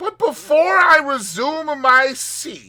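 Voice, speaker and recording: A put-on character voice, high and squeaky, raised and projected, at a very slow pace. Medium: read story. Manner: smug, mocking.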